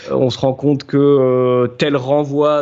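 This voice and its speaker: Monotone and flat in intonation, a man speaks with a fairly high pitch. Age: 30s. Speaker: apprentice boat preparer. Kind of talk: interview. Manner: hesitant, with fillers.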